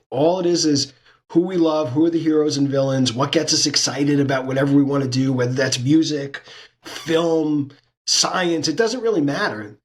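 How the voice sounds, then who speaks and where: A man with an American accent has an ordinary speaking voice, fairly high in pitch, with ordinary pitch variation. He keeps a moderate pace and very even loudness. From New York, Brooklyn. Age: 60s. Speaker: sports business consultant and lecturer. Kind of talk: interview conversation.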